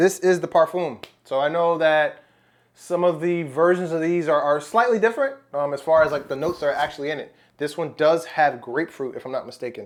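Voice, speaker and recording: On a very clean recording with a silent background, a man with an American accent talks at a fairly quick pace in a fairly high voice with ordinary pitch variation. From United States. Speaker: fragrance reviewer. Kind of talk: product review. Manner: casual, conversational with fillers; animated exclamations.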